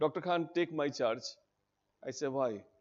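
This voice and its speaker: The man speaks at a fairly quick pace with an Indian accent. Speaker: teacher at a civil services coaching institute. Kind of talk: orientation talk to students. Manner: animated.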